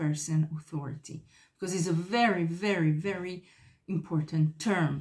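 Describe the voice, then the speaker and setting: Somewhat breathy and fairly low in pitch, a woman with a non-native accent speaks at a fairly slow pace. Her pitch varies in an ordinary way. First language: not English. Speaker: psychotherapist YouTuber. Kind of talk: talking-head video monologue. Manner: halting, many fillers.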